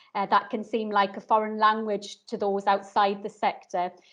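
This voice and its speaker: In a northeast English accent, a woman talks at a moderate pace with a fairly high pitch. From northeast England. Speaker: social worker and course inspector. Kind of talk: webinar talk. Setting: online video session. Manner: hesitant, many ums.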